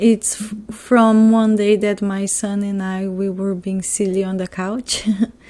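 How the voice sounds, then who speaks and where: A woman with a non-native accent at a fairly slow pace. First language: not English. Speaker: scrapbooker. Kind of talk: casual crafting process voiceover.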